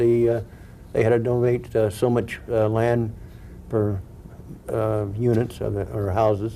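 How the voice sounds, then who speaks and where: Medium in pitch, a man speaks at a moderate pace with an American accent. His tone is dark and mellow, and his intonation is monotone and flat. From Huntington Beach, California. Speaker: former mayor. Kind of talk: interview answer. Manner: warm, humorous, humble.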